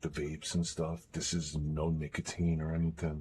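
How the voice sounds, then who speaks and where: A man's very deep, low voice, somewhat breathy, at a moderate pace. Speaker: gaming streamer. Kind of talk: live stream chat. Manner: quiet, not raised; halting.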